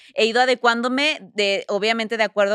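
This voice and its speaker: A woman with a Mexican accent at a very fast pace, her bright, sharp tone in a very clean, silent recording with dry, close sound and no echo. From Mexico. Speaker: TV presenter and entrepreneur. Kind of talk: casual interview.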